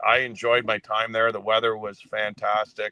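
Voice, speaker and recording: A man with a Canadian accent and an unremarkable speaking voice talks at a moderate pace. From Canada (Sudbury, Ontario). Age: 60s. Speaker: former hockey executive and coach. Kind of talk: podcast interview.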